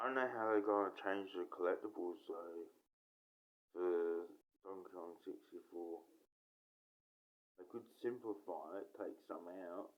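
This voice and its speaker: With an Australian accent, this speaker talks at a fairly slow pace, with big swings in loudness and long, frequent pauses. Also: man. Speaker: gaming YouTuber. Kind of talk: casual monologue. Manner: halting.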